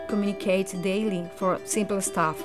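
A woman with a Spanish accent speaks while music plays clearly in the background. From Venezuela. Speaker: architect; language student. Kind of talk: testimonial interview answer. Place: home room.

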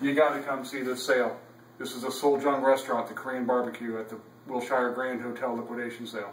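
A man talks at a very fast pace with a monotone, flat intonation. Light background noise and audible room echo surround him. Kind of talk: promotional walkthrough commentary. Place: cafe. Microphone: camera far.

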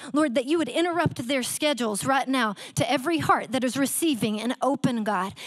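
A woman speaks at a fairly quick pace in a high voice with ordinary pitch variation against a quiet background. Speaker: guest preacher. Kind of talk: fervent prayer. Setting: church with online audience. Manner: fervent, pleading. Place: church. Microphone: handheld.

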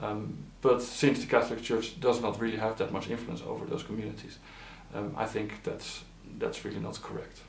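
Speaking at a fairly quick pace, a man is heard with audible room echo and light background noise. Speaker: regional analyst for a nonprofit. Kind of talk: interview answer.

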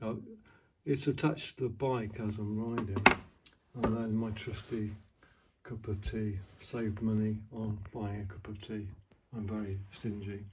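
A man with a fairly low voice speaks at a moderate pace with fairly even intonation. He leaves long, frequent pauses over noticeable background noise. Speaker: motorcycle vlogger. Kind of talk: casual vlog chat. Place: home room. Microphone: phone near.

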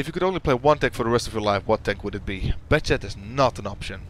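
A man with a Dutch accent talks very fast with lively intonation and some vocal fry, the sound dry with no echo and a little background noise. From Netherlands. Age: 20s. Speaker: gaming YouTuber. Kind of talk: casual Q&A. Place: home room.

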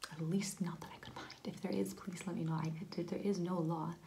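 Soft-spoken and gentle in tone, the voice moves at a fairly quick pace over light background noise. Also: woman. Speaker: explainer vlogger. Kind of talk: explainer talk to camera on policy. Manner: soft-spoken, gentle low-volume talk. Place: home room. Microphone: phone near.

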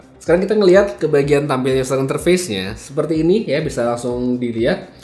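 Very fast in pace and with very wide pitch swings, the voice carries audible room echo. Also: man. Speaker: tech reviewer. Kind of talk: product review. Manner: casual, conversational.

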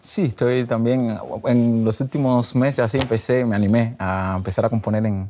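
Against light background noise, a man with a medium pitch and a dark, mellow tone speaks at a moderate pace with very even loudness. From Cuba. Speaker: singer-songwriter and guitarist; guest. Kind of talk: interview. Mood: relaxed, smiling. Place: studio. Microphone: lapel.

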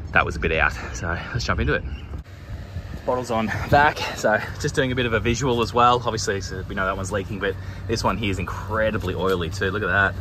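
A man with an Australian accent talks at a very fast pace in a fairly low pitch with ordinary pitch variation, long, frequent pauses and noticeable background noise. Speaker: HVAC technician. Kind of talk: on-the-job tutorial narration. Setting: outdoors on a job site. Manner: casual, hesitant with many fillers.

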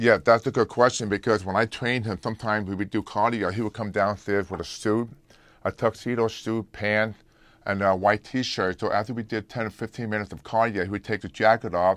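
Fairly quick and monotone, a man speaks with flat intonation at a fairly low pitch. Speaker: remote interview guest, fitness trainer. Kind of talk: interview answer. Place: studio.

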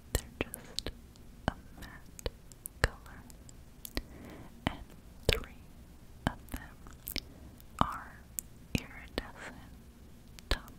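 The speaker is whispering. The pace is very slow. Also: woman. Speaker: ASMR creator. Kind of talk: ASMR nail polish unboxing. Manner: whispered. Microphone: studio mic.

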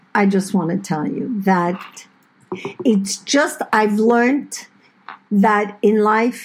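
A woman's somewhat breathy, fairly high-pitched voice at a very slow pace. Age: 60s. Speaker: podcast co-host, host's mother. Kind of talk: casual chat. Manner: talkative.

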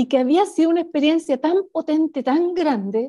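The intonation of this woman is lively, her pace fairly slow. Nothing but a quiet background surrounds her. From Chile. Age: 50s. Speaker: spiritual author; interview guest. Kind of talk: interview conversation. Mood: calm, reflective. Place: home room. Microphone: video call.

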